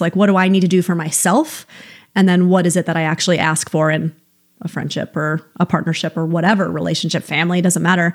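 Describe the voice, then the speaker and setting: Talking at a very fast pace, a woman with an American accent has a fairly low pitch. Her intonation is monotone and flat. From upstate New York. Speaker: psychotherapist. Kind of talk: casual chat.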